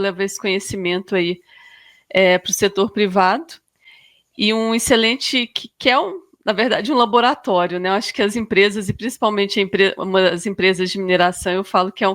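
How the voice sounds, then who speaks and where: Woman with a Minas Gerais accent, ordinary pitch variation, and a very clean recording with a silent background. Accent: mineiro (Minas Gerais). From Minas Gerais, Brazil (Arcos). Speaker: sustainability coordinator in mining. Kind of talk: podcast interview. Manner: hesitant, many fillers.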